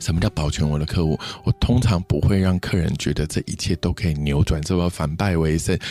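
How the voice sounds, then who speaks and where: A man speaks with a very deep, low pitch and ordinary pitch variation at a fairly quick pace with hardly any pauses, in a dry, close sound with no echo and music in the background. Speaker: PR crisis consultant. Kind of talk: interview chat. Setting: studio.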